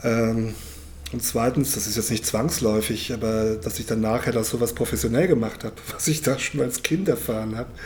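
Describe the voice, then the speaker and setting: A man at a medium pitch speaks at a moderate pace with hardly any pauses, against noticeable background noise. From Germany, North Rhine-Westphalia. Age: 50s. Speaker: historian and storytelling-circle moderator. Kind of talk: moderated storytelling circle and interview. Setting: public library event room.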